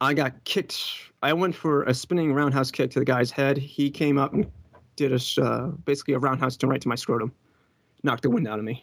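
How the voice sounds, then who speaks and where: Here a man with a normal speaking voice talks fairly quickly at a fairly high pitch with fairly even intonation. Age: 20s. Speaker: caller. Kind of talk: call-in conversation.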